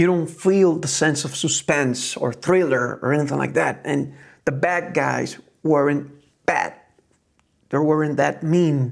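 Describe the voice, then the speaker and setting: Speaking with a Spanish accent, a man keeps a fairly slow pace. His pitch is fairly high and his intonation fairly even. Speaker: film reviewer. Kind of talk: casual review monologue. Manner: halting, with fillers and false starts.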